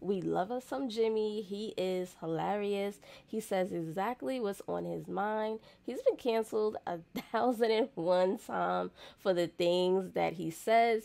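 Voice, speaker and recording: With an American accent, a woman speaks at a fairly slow pace. Her tone is dark and mellow, with ordinary pitch variation. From United States. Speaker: YouTube reaction creator. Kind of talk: casual reaction commentary. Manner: animated. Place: home room. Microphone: studio mic.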